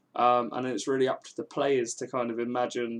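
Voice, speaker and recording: A man with a southern English accent, at a fairly quick pace. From England, Milton Keynes. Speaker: game developer streamer. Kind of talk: casual live stream chat. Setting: live stream. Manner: fast.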